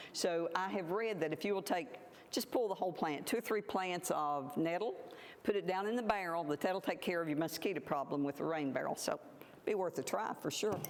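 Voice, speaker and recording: The speaker has an Appalachian accent and a fairly quick pace. Loudness stays very even, and pitch varies in an ordinary way. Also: woman, fairly low pitch for a woman. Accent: Appalachian Southern US. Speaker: plant forager and herbal presenter. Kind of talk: public talk.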